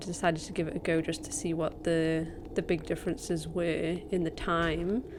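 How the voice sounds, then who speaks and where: A quiet woman's voice, fairly low-pitched, at a moderate pace with flat, monotone intonation. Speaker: speedrunner and streamer. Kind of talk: gameplay voiceover commentary. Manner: quiet, keeping voice down; hesitant, many fillers.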